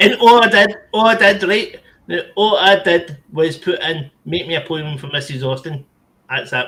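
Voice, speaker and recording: Speaking at a fairly slow pace in a Scottish accent, the voice has lively intonation and big swings in loudness. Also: man, high pitch for a man. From Scotland. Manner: animated, jokey.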